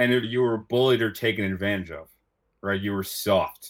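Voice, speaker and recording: A man speaks in a plain, everyday voice at medium pitch and a moderate pace, on a very clean recording with a silent background. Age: 30s. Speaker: college rowing coach. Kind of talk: casual chat.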